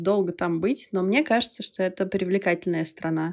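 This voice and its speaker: A woman's normal speaking voice at medium pitch and a fairly quick pace, on a very clean recording with a silent background. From Belarus. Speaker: bar co-founder and former cruise ship worker. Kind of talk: casual chat.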